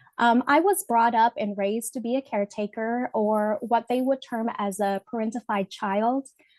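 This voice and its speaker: Fairly even intonation at a moderate pace, in a dry, close sound with no echo. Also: woman, fairly high pitch for a woman. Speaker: webinar presenter. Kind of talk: personal testimony in a webinar presentation. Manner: halting with many fillers.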